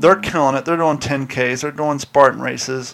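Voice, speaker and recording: A man with a Southern US accent and fairly high pitch. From US South. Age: 40s. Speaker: podcast host. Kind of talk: casual chat. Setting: studio.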